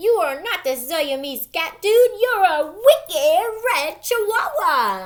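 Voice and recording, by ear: Extremely high in pitch, a woman performs a put-on character voice. She talks at a fairly slow pace.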